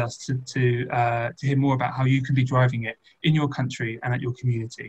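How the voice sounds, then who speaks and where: A man at a very fast pace, somewhat breathy, in monotone, flat intonation. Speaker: panel moderator; session moderator. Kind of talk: closing remarks. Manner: hesitant, many fillers. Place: home room. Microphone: video call.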